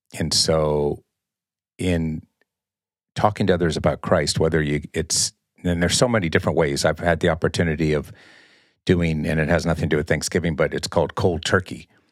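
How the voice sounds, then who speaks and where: A man talks at a fairly quick pace with a very deep, low pitch. His intonation stays fairly even, broken by long, frequent pauses. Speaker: church elder and emergency dispatcher. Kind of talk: casual chat.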